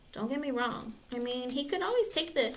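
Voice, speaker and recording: A woman at a moderate pace, with audible room echo. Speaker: tarot reader. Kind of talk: live-stream tarot reading and casual chat. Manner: casual, chatty.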